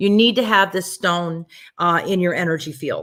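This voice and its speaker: A woman speaks at a medium pitch with ordinary pitch variation in a normal speaking voice. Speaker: psychic medium and webinar host. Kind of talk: sales pitch. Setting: online webinar.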